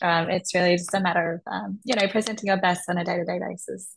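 Speaking at a fairly quick pace, a woman with an Australian accent keeps a fairly low pitch and fairly even intonation. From Melbourne, Australia. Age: 20s. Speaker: architect and pageant contestant. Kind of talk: interview.

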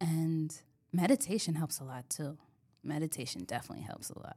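The recording is very clean, with a silent background, as a woman talks at a moderate pace in a New York accent. Her voice is very deep and low, with a dark, mellow tone. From New York (Bronx, Yonkers). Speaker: insurance agent. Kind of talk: interview. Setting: studio.

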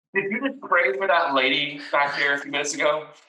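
A man puts on a gruff character voice at a fairly high pitch. He rattles along at a very fast pace. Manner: grumpy.

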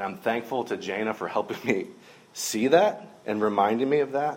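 A man at a medium pitch with an American accent, with audible room echo. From US South, middle Georgia. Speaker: minister. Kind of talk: sermon.

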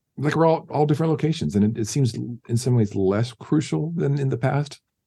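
A man speaks at a moderate pace in a medium pitch, somewhat breathy, with lively intonation. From US West Coast, San Diego. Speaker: film composer. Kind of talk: casual interview chat.

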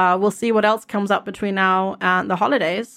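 On a very clean recording with a silent background, a woman's medium-pitched voice has a bright, sharp tone and a monotone, flat intonation. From Germany. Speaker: streamer. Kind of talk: casual chat.

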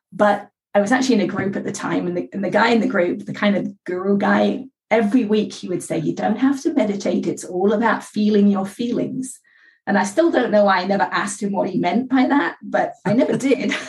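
A woman at a medium pitch and fairly quick pace, with vocal fry. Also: ordinary pitch variation. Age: 50s. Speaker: author. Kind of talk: interview.

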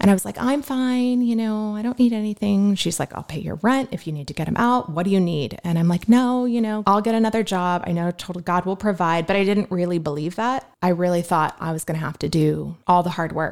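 A woman's plain, everyday voice at a medium pitch, fairly quick and nearly pause-free, with lively intonation on a very clean recording with a silent background. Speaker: guest sharing faith testimony. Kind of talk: testimony. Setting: podcast interview.

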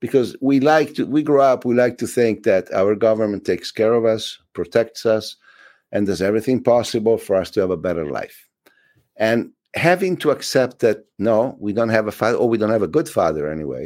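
Speaking at a fairly quick pace, the man uses lively intonation at a medium pitch. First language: Italian. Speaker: film director. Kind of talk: interview. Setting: video call.

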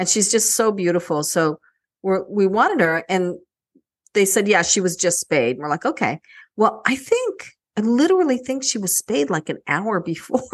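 Over a quiet background, a woman with an American accent speaks in a plain, everyday voice at medium pitch and a moderate pace, with lively intonation. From New Jersey. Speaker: podcast host. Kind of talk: casual chat.

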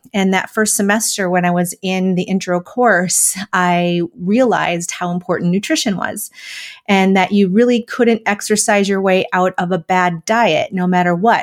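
Her voice is a normal speaking voice, a woman's at medium pitch with an American accent, fairly even intonation and a moderate pace. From US Midwest, Wisconsin. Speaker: dietitian and mindset coach. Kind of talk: interview.

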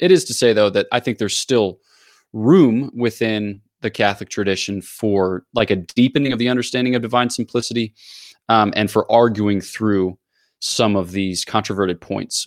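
A man with an American accent speaks in a plain, everyday voice at a medium pitch. His pace is moderate, his pitch variation ordinary, and the recording very clean with a silent background. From US, Philadelphia area. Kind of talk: explanatory theological interview.

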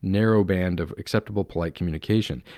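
Someone with an American accent is heard in a very clean recording against a silent background. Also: man. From US Pacific Northwest, Palouse (Eastern Washington/Idaho). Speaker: podcast host. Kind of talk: solo commentary monologue. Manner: casual, conversational with frequent fillers.

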